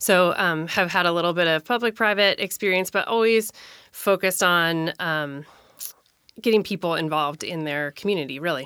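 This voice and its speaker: A woman with an American accent speaks at a moderate pace in a plain, everyday voice, with ordinary pitch variation and a dry, close sound with no echo. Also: fairly low pitch for a woman, very clean recording, silent background. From Minnesota. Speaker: city council candidate and transit advocate. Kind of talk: interview.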